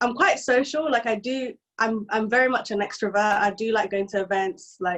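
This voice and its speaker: A woman with a London accent speaks at a moderate pace in a fairly high voice, her pitch varying in an ordinary way. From East London, England. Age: 20s. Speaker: software engineer and content creator. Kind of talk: podcast interview.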